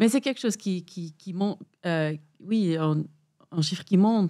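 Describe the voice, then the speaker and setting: A woman speaks at a medium pitch with a dark, mellow tone. Her pace is moderate, and her pitch variation is ordinary. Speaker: podcast guest. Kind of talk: interview answer.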